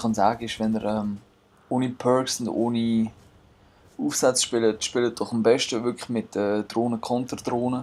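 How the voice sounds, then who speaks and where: In a Swiss accent, a man speaks slowly-ish at a medium pitch with monotone, flat intonation, against noticeable background noise, at a fairly slow pace. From Switzerland. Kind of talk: gameplay commentary. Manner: casual.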